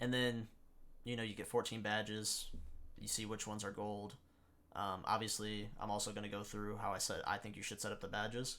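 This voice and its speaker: Speaking at a fairly quick pace, a man with a fairly low pitch uses a bright, sharp tone and monotone, flat intonation. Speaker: gaming YouTuber. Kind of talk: gameplay tutorial. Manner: fast; halting, with stutters and pauses.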